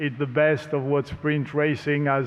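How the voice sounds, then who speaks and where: A man with a French accent and fairly high pitch, at a moderate pace, with audible room echo. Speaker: racing series promoter. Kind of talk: press conference speech.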